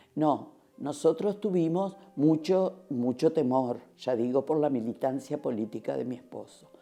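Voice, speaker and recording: A woman speaks at a very slow pace in a very deep, low pitch with lively intonation. Music plays in the background. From Uruguay, Montevideo. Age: 80s+. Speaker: retired schoolteacher, housing cooperative member. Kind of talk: oral history interview. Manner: halting, with many fillers.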